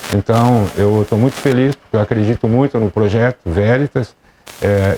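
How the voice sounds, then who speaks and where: Recorded dry and close with no echo, a man speaks at a moderate pace over noticeable background noise. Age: 60s. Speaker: schoolteacher. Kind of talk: interview.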